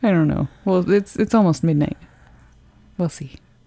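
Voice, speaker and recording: In a fairly low voice, a woman talks at a fairly quick pace. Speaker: podcast co-host. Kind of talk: casual chat.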